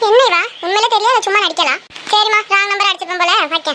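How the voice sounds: This woman uses a cartoonish character voice at an extremely high pitch. She talks at a fairly quick pace with very even loudness.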